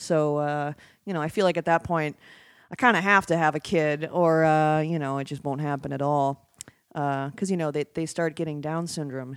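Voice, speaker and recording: On a very clean recording with a silent background, a woman with a very deep, low voice speaks with fairly even intonation. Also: moderate pace. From Wisconsin, Oshkosh. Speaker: filmmaker and storyboard artist. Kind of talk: casual chat.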